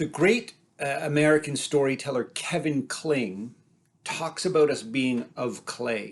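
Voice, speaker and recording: A man's plain, everyday voice, fairly high in pitch, at a fairly slow pace with ordinary pitch variation. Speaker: storyteller. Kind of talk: personal storytelling.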